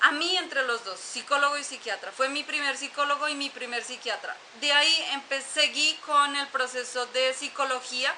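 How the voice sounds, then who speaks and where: A woman's raised, projected voice, high in pitch, at a moderate pace with fairly even intonation, over noticeable background noise. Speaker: YouTuber sharing personal story. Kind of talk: personal testimony monologue. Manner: halting, many fillers.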